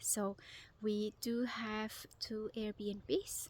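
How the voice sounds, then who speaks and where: Somewhat breathy speech with fairly even intonation and a non-native accent. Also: woman. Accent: foreign. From Switzerland. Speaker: vlogger. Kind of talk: casual vlog. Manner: hesitant, with fillers.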